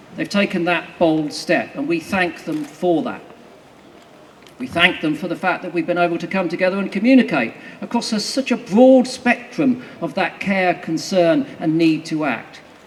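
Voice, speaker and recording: Over noticeable background noise, a man talks at a moderate pace in a high pitch with lively intonation. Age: 60s. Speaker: naturalist campaigner speaking at a rally. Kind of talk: rally speech. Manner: rousing.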